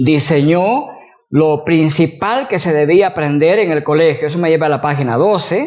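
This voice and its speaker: A man speaks with lively intonation at a fairly high pitch. Room echo is audible. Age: 60s. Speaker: university professor, teacher trainer. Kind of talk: lecture.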